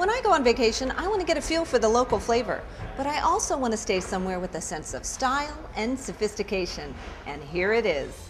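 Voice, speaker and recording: Against noticeable background noise, a woman talks at a very fast pace in an upbeat tone with very wide pitch swings. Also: fairly high pitch for a woman. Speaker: television host, presenter and voiceover talent. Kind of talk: on-camera travel and hotel promo host read. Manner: upbeat, friendly, conversational.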